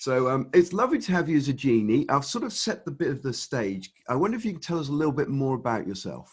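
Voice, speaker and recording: With an English accent, a man talks at a very fast pace with hardly any pauses. His fairly high, somewhat breathy voice makes very wide pitch swings. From England. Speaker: podcast host. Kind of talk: interview.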